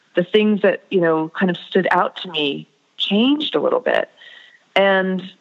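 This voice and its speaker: Heard here is a plain, everyday voice with ordinary pitch variation. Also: woman. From US. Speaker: author. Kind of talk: interview. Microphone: poor audio quality.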